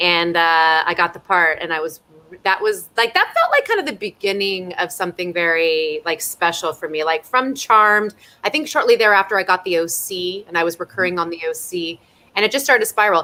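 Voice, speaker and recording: A woman speaks in a Californian accent at a fairly quick pace, her pitch medium with ordinary variation. Her tone is animated, bright and sharp. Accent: General American, Californian. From US West, Simi Valley, California. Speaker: actress. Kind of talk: casual Q&A chat.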